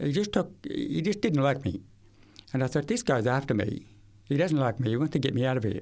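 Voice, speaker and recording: In an Australian accent, a man with a fairly high pitch talks fairly quickly, his pitch swinging very widely. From Queensland, Australia. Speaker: hearing rehabilitation specialist. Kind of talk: testimony.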